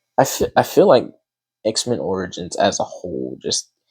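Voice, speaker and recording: A man speaks quietly, with a dry, close sound and no echo. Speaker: artist drawing while talking. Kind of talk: casual talk while drawing. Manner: halting.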